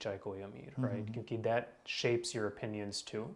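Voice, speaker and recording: Speaking in a medium pitch, the man keeps his intonation monotone and flat. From Indian-American, Chicago. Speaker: medical professional. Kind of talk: podcast interview answer.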